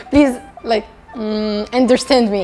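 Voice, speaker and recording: A woman with an Arabic accent speaks fairly slowly over music in the background. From Tunisia. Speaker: ambassador for tourism program, student. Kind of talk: interview. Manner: halting, with fillers and repetitions.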